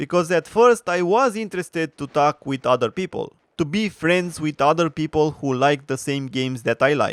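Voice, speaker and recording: The speech has lively intonation and hardly any pauses at a moderate pace, captured in a very clean recording with a silent background and a dry, close sound with no echo. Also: man, fairly high pitch for a man. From Romania. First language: Romanian. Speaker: gaming commentator. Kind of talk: opinion rant. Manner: animated.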